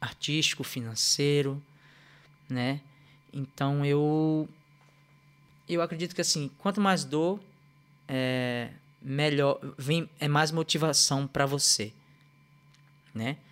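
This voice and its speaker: Fairly high in pitch, a man speaks at a very slow pace. His pitch varies in an ordinary way. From Recife, Pernambuco, Brazil. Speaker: dancer and musician. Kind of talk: casual chat. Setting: live video stream.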